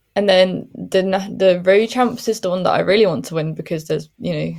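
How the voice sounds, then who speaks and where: Speaking at a moderate pace, a woman talks with a Welsh accent. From Wales. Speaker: professional cyclist. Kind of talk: interview.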